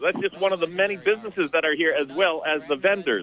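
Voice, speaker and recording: There is noticeable background noise in this clip. Over it, a man talks with lively intonation. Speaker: on-location promoter. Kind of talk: live promo report. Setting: phone call. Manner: animated.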